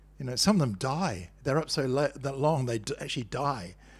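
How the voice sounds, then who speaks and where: At a moderate pace, a man speaks at medium pitch in a somewhat breathy voice with ordinary pitch variation. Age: 70s. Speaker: spiritual teacher. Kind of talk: spiritual talk. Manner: conversational.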